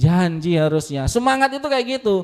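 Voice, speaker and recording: In a very clean recording with a silent background, a man talks in an animated tone with lively intonation. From Lampung, southern Sumatra, Indonesia. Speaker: university staff speaker at student orientation. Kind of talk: motivational talk to new students. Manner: animated, interactive with audience.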